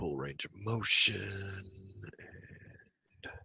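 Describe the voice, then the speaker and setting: A man mumbles. The sound is dry and close, with no echo. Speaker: hypnosis session client. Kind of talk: answers under hypnosis session. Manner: mumbling.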